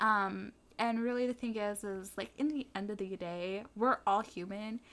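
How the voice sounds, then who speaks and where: A woman with an unremarkable speaking voice talks at a moderate pace, her pitch medium and her intonation fairly even. The recording is very clean, with a silent background. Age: young. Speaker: podcast co-host, youth activist. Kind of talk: casual chat. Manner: casual, filler-heavy.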